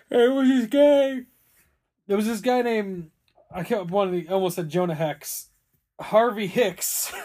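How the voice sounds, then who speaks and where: Speaking at a fairly slow pace with long, frequent pauses, the voice has a dark, mellow tone and ordinary pitch variation. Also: man, high pitch for a man. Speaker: podcast host. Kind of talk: casual chat.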